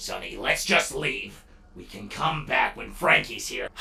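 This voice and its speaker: A man's put-on character voice, very deep and low, at a fairly slow pace with music in the background. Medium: audio drama. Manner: protective, urgent.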